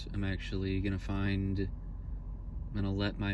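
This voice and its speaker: Audible room echo surrounds the man as he talks. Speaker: vlogger. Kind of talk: personal vlog monologue. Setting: in a car.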